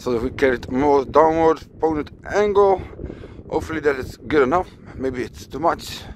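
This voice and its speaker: With light background noise and a dry sound with no echo, a man speaks at a fairly slow pace with ordinary pitch variation. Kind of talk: casual vlog commentary. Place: open country. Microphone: phone near.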